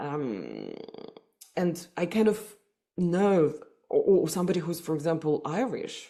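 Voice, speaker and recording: A woman's fairly low, dark, mellow voice in a Russian accent, fairly slow in pace, with ordinary pitch variation and long, frequent pauses. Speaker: psychotherapist. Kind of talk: podcast interview. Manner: hesitant, many fillers and repetitions.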